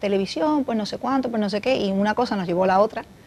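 A woman talks at a fairly quick pace with lively intonation and a medium pitch. The sound is dry and close, with no echo. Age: 40s. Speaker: talk show host. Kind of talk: interview. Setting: studio.

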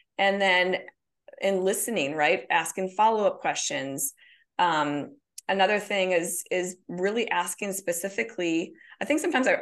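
A woman talks at a moderate pace with lively intonation and a medium pitch. She has an ordinary speaking voice. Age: 40s. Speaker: author and counselor. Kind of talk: casual interview.

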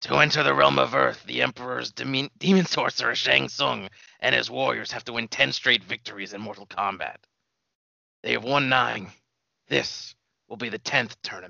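This is a put-on character voice. It sounds raspy. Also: man, fairly low pitch for a man, moderate pace. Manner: grave, commanding, prophetic.

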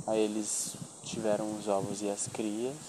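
Fairly slow speech from a man, plus clear background noise. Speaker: podcast host. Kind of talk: casual chat. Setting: outdoors.

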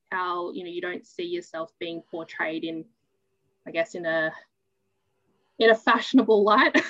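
With an Australian accent, the speaker keeps a moderate pace, pausing long and often, with ordinary pitch variation, big swings in loudness and a dry, close sound with no echo. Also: woman, fairly low pitch for a woman. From New South Wales, Australia. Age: 20s. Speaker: interviewee. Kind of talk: interview. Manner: halting.

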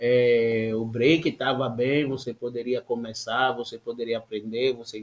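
A man speaks in a normal speaking voice with ordinary pitch variation. His pace is fairly slow. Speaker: podcast host. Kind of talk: casual chat.

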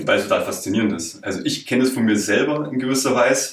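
A man speaks at a fairly quick pace in a normal speaking voice, with ordinary pitch variation. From Bavaria, rural area around Munich. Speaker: podcaster. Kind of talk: interview. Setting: office room.

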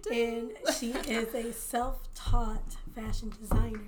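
A woman's fairly high voice, very slow and monotone with flat intonation, over noticeable background noise. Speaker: podcast co-host. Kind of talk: casual interview chat.

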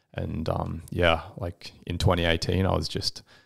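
A man with an Australian accent and a very deep, low pitch, somewhat breathy. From Western Australia, Perth. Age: 20s. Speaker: entrepreneur. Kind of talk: casual interview.

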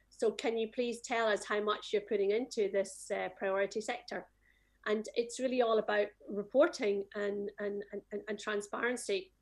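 Her pitch fairly high and her intonation fairly even, a woman speaks at a moderate pace. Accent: Scottish. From Scotland. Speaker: music industry association executive. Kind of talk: panel discussion. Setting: video call.

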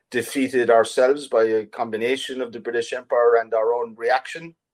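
In an Irish accent, a man speaks at medium pitch. His intonation is fairly even and his pace fairly quick. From Ireland. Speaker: writer and artist. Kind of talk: interview. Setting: video call.

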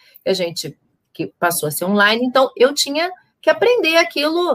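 A woman's voice has a bright, sharp tone and moves through very wide pitch swings. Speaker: psychologist and therapist. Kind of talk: casual chat. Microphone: audio not reaching YouTube, computer sound issue.

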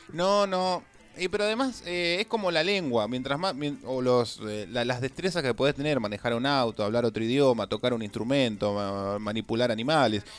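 Speaking at a fairly quick pace, a man at medium pitch uses a plain, everyday voice with lively intonation. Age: 20s. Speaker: radio host. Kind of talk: casual chat.

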